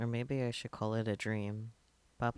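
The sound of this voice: An unforced voice carries the reading.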